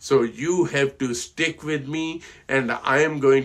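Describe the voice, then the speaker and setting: The man's voice sits at a fairly high pitch. He talks at a fairly slow pace. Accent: Indian. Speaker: financial advisor. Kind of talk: casual talk to camera. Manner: halting, many fillers.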